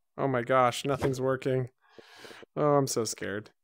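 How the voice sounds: Vocal fry from a man at medium pitch, fairly slow in pace with fairly even intonation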